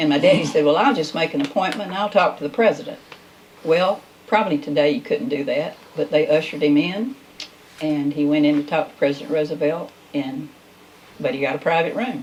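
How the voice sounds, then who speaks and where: With a Southern US accent, a woman talks at a fairly quick pace in a very deep, low pitch, her intonation lively and broken by long, frequent pauses, over noticeable background noise. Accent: Southern US (Georgia). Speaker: talk show host. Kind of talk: casual chat.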